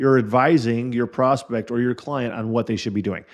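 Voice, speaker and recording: Against a quiet background, a man speaks in a plain, everyday voice at medium pitch and a fairly quick pace. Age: 40s. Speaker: podcast host and insurance sales coach. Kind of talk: solo podcast monologue.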